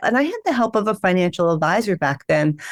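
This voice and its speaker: Speaking at a fairly quick pace and medium pitch, a woman with a Philadelphia accent is heard in a very clean recording with a silent background. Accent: Philadelphia, drops g endings. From Philadelphia, US. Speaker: financial planner. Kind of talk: podcast interview. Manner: fast.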